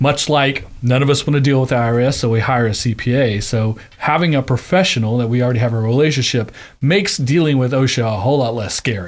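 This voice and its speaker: A man's unremarkable speaking voice, medium in pitch, goes at a fairly quick pace with ordinary pitch variation. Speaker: podcast host. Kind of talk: podcast interview host.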